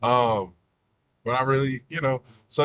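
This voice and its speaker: Here a man speaks at a medium pitch. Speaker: podcaster and content creator. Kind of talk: casual podcast talk. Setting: recorded in a car.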